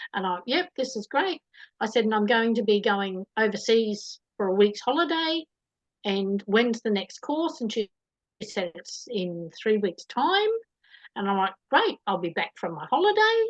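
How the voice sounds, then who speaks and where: In a dry, close recording with no echo, a woman with an Australian accent speaks fairly slowly. Her fairly high voice has lively intonation. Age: 60s. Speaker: interviewee. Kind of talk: casual chat.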